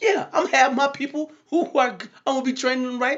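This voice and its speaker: A man's loud, extremely high-pitched voice at a fairly quick pace. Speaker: podcast host and minister. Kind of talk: casual monologue.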